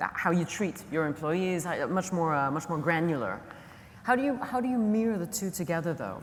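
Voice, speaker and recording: With lively intonation, a woman speaks at a fairly low pitch. Room echo is audible. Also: moderate pace. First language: not English. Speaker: conference moderator. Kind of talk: panel conversation. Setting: conference stage.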